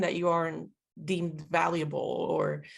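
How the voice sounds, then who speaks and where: A woman speaks at a fairly low pitch. Vocal fry runs through her voice. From Puerto Rico. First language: Spanish. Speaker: military linguist. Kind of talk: interview conversation.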